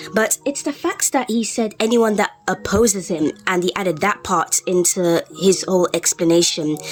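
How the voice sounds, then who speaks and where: With music in the background, a woman of medium pitch speaks at a moderate pace with hardly any pauses and ordinary pitch variation. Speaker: YouTube commentator. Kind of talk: unscripted rant commentary. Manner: halting, with pauses and fillers.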